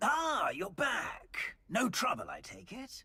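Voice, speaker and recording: A put-on character voice, high in pitch, moves at a very slow pace. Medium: video game. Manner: polite, mildly hesitant.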